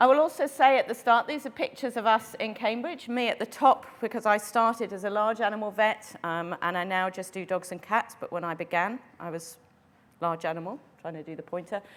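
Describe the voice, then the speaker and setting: With an RP accent, this voice moves at a fairly quick pace with lively intonation and big swings in loudness. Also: woman, fairly high pitch for a woman. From England. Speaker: veterinary internal medicine specialist. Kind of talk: lecture. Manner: fast.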